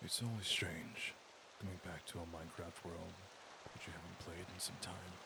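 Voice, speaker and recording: Quiet and monotone, with flat intonation, a man with a very deep, low pitch speaks at a moderate pace. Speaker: gaming commentator. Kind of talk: quiet gameplay commentary for sleep. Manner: hushed, quiet.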